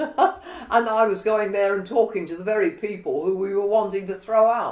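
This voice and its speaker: Against noticeable background noise, a woman talks at medium pitch and a moderate pace. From London (Cockney, East End). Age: 80s+. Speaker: retired career woman and political campaigner. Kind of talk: interview, life story.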